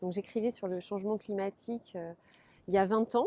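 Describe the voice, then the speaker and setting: A woman at medium pitch speaks with fairly even intonation and a dark, mellow tone, in a dry, close sound with no echo. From French Basque Country (Guéthary and Biarritz). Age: 40s. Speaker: local election candidate. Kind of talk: interview. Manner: hesitant, many filler sounds.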